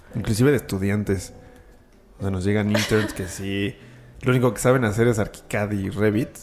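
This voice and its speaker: Speaking with a Mexico City accent, a man uses a fairly low pitch and fairly even intonation, with long, frequent pauses. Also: moderate pace. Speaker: architect and render artist. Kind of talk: casual chat.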